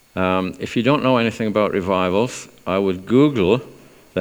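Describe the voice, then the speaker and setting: A man talks with a South Wales accent. His pitch variation is ordinary. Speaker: church speaker leading testimonies. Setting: church. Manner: speaking slowly.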